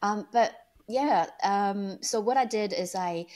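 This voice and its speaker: On a very clean recording with a silent background, a woman with a Chinese accent talks with lively intonation. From China. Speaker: online entrepreneur. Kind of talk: interview. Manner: hesitant, many fillers.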